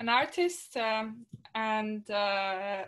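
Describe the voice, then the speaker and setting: The speaker is a woman. She talks with a Polish accent. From Poland. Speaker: artist and activist. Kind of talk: interview. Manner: halting.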